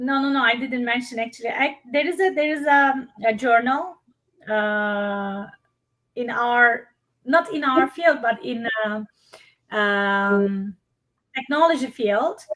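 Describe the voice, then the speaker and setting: In a bright, sharp tone, a high-pitched woman speaks at a very slow pace with lively intonation and long, frequent pauses. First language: not English. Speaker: workshop presenter, hospitality researcher. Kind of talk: live webinar Q&A.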